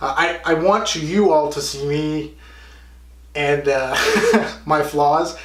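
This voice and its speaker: A man with fairly high pitch and fairly even intonation speaks at a very slow pace, leaving long, frequent pauses. Audible room echo and noticeable background noise fill the recording. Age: 20s. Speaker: fitness vlogger. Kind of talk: vlog monologue. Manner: halting; casual.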